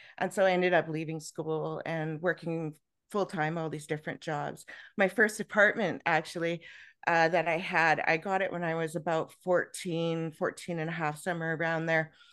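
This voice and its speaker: With a Canadian accent, a woman talks at a moderate pace in a fairly low pitch and a monotone, flat intonation against a quiet background. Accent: Canadian, heard as Minnesota-like. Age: 50s. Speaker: author and podcast guest. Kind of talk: interview, personal life story.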